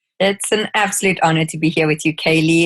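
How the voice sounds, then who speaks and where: A woman with a South African accent, fairly low in pitch, at a fairly quick pace with fairly even intonation, in a dry, close sound with no echo. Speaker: skincare educator. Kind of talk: interview.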